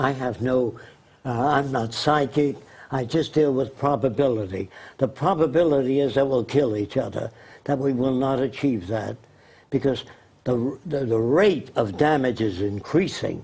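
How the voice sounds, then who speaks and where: A man with a medium-pitched, somewhat breathy voice speaks at a moderate pace with ordinary pitch variation against a quiet background. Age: 80s+. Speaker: futurist designer giving interview. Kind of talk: live talk show interview.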